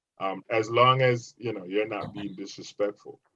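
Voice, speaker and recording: A man talks at a moderate pace in an animated, bright, sharp tone. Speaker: podcast co-host. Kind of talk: casual chat. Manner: gets loud when enthusiastic.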